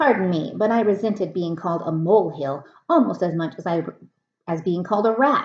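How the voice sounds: Ordinary pitch variation marks a natural reading voice. The background is quiet.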